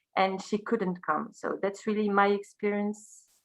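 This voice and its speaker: At a moderate pace, a woman speaks at a medium pitch. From Belgium. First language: French. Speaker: high school teacher and singer. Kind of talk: interview. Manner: halting.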